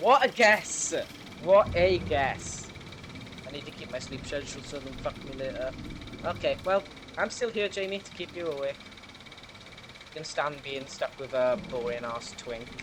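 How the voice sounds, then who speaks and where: A man with a Welsh accent speaks at a moderate pace, leaving long, frequent pauses. His pitch swings very widely and his loudness shifts a lot, over noticeable background noise. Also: fairly high pitch for a man. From Wales. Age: 20s. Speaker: gaming streamer. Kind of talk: live gameplay stream chat. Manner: animated.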